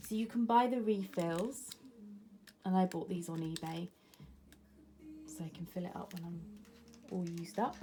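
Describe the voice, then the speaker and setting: A woman with an English accent talks at a moderate pace in a medium pitch, with ordinary pitch variation and big swings in loudness. Her speech has long, frequent pauses, and music plays in the background. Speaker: planner vlogger. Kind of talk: casual show-and-tell vlog. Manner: chatty, many fillers.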